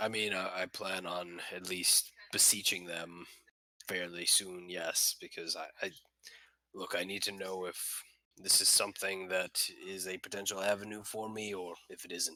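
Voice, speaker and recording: A man puts on a raspy character voice with a very deep, low pitch. He keeps a moderate pace. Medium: actual play. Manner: hesitant, halting, with many fillers.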